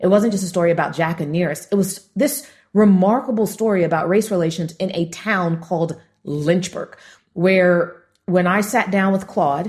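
A somewhat breathy voice with an American accent at a fairly quick pace, with ordinary pitch variation, in a very clean recording with a silent background. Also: woman. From Los Angeles, US. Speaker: entrepreneur and author. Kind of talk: interview, storytelling.

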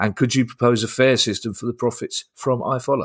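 A man with a London accent at a fairly quick pace, on a very clean recording with a silent background. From South London. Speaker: comedian and podcast host. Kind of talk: casual chat.

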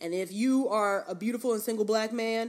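A woman with an American accent speaks fairly quickly at a fairly high pitch, with ordinary pitch variation. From New York, South Bronx. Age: 20s. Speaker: podcast co-host. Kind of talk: casual chat. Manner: animated.

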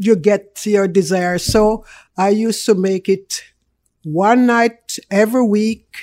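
On a very clean recording with a silent background, a woman speaks in a Jamaican accent at a very slow pace. Her tone is dark and mellow, her pitch medium, her intonation fairly even. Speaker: food business owner, guest. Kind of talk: casual interview chat. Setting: radio studio.

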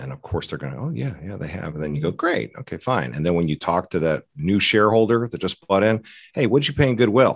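A man with an American accent speaks at a very fast pace with hardly any pauses, his very deep, low voice carrying vocal fry. His pitch swings very widely. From US South, Atlanta, Georgia. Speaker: orthopedic surgeon. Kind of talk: interview.

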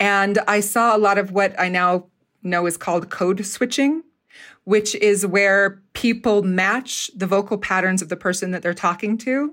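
On a very clean recording with a silent background, a woman with a normal speaking voice keeps a medium pitch and ordinary pitch variation. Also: fairly slow pace. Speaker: theater professor and dialect coach. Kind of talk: casual interview chat.

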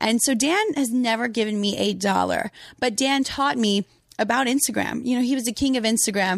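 A woman at a fairly quick pace, with ordinary pitch variation and very even loudness. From Louisiana, US. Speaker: Instagram model. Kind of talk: casual chat. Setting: home studio.

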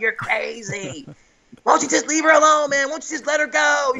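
A man speaks fairly quickly in a put-on character voice, raised and projected. His pitch is extremely high.

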